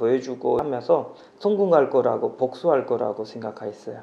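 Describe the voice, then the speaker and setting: Lively intonation runs through a man's speech, which carries a slight non-native accent. Noticeable background noise can be heard. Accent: slight foreign accent in Korean. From Pakistan. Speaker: naturalized immigrant interviewee. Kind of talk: interview.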